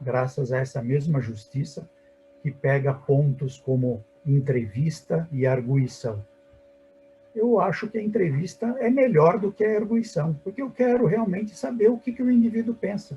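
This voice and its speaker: A man's fairly high voice moves in very wide pitch swings as he speaks at a fairly slow pace. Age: 60s. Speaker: surgeon and medical professor. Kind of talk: webinar panel discussion. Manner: animated.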